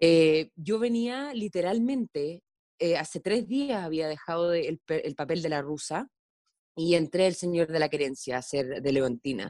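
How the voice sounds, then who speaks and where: A woman with a Chilean accent, fairly low-pitched and dark and mellow in tone, at a fairly slow pace with very wide pitch swings, in a dry, close sound with no echo. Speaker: actress. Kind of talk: casual interview. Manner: halting, with many fillers.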